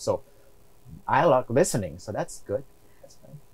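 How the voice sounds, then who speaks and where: A man speaks with a non-native accent. His voice has vocal fry. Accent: foreign. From outside the US. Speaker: real estate investor. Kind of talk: interview.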